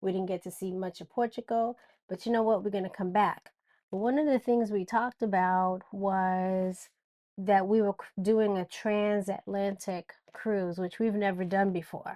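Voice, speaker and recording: At a moderate pace, a woman speaks at medium pitch with a dark, mellow tone and fairly even intonation, the sound dry and close with no echo. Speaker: podcast co-host. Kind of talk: casual chat. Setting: on a cruise ship at sea. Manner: loud.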